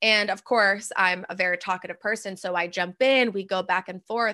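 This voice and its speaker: Against a quiet background, a woman talks in a bright, sharp tone at a medium pitch with ordinary pitch variation. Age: 20s. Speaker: holistic health coach. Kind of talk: casual chat. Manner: talkative.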